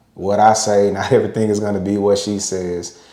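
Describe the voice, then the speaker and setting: The speech moves at a fairly quick pace in a dark, mellow tone. Room echo is audible. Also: man. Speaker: podcast co-host with his wife. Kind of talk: casual podcast discussion. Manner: occasional stutter.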